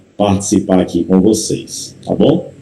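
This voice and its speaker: A man with a strong Paraíba accent and a dark, mellow tone, at a fairly slow pace with audible room echo. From Paraíba, Brazil. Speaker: pastor. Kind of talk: sermon.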